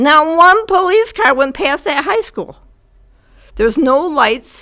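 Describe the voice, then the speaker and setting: A raised, projected female voice with a bright, sharp tone and very wide pitch swings, in a very clean recording with a silent background. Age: 70s. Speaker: resident speaking at public comment. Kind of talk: public comment at city council meeting. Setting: council meeting room.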